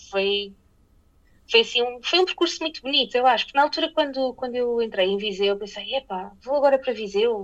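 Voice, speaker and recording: Speaking fairly quickly, a woman uses lively intonation at a high pitch. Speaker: TV journalist. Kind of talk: interview.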